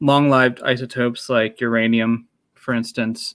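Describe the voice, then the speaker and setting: Mumbling from a man at medium pitch. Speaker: nuclear engineer. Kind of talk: casual discussion.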